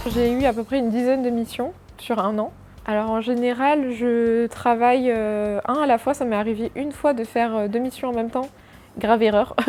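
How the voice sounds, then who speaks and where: Using a monotone, flat intonation, a woman with a fairly high pitch and a dark, mellow tone speaks at a moderate pace. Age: 20s. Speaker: freelance product designer. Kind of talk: interview answers. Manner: hesitant, many fillers.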